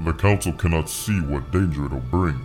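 Clear music plays behind a man doing a put-on character voice at a very deep, low pitch. He keeps a moderate pace. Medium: audio drama. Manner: calm, formal, measured.

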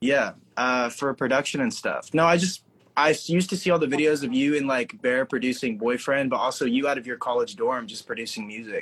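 A man with an American accent speaks in a normal speaking voice, fairly high in pitch. His intonation is lively. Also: fairly quick pace. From Oklahoma. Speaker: aspiring music producer. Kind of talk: live-stream Q&A chat.

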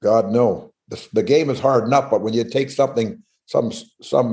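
In a quiet background, a man speaks with a Canadian accent at a medium pitch. His tone is dark and mellow, with ordinary pitch variation. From northern British Columbia, Canada. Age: 70s. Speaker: former pro hockey player. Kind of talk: casual interview chat, storytelling.

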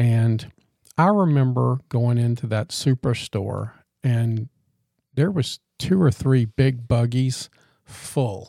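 A man with a Louisiana accent speaks very slowly at a medium pitch, his dark, mellow, somewhat breathy voice showing ordinary pitch variation and long, frequent pauses in a dry, close sound with no echo. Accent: Louisiana Southern. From Louisiana, Baton Rouge area. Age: 50s. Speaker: podcast co-host. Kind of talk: casual chat.

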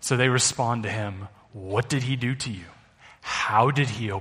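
The voice is a natural reading voice. Its pitch variation is ordinary.

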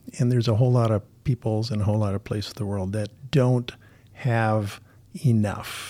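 A dark, mellow tone at a moderate pace with ordinary pitch variation, on a very clean recording with a silent background. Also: man. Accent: American. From Minnesota, US Midwest. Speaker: missions pastor. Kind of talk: interview conversation.

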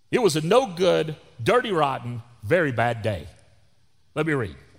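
In a loud voice with a Texan accent, a man speaks with very wide pitch swings in a very clean recording with a silent background. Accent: Texan Southern US. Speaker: pastor. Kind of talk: sermon. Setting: church.

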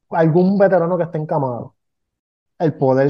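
A man speaks with a Puerto Rican accent. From Puerto Rico, Ponce. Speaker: veterans podcast co-host. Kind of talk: casual podcast conversation.

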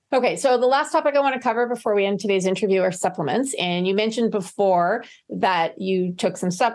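Over a quiet background, a woman speaks at a very fast pace and medium pitch with ordinary pitch variation. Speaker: podcast host. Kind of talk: interview.

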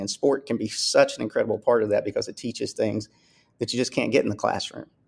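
Male speech with a Southern US accent, very clean recording and a silent background. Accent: Southern US, heard as Texan. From US South, Kentucky. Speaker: school athletics director. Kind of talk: interview.

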